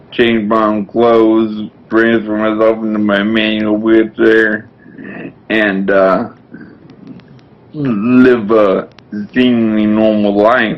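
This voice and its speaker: Through noticeable background noise, a man with an American accent speaks very slowly at a fairly low pitch, with monotone, flat intonation and long, frequent pauses. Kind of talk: testimony.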